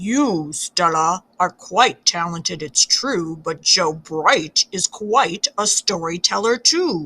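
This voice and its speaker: A woman puts on a growling character voice at a fairly low pitch. She talks at a very slow pace with hardly any pauses. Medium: read story.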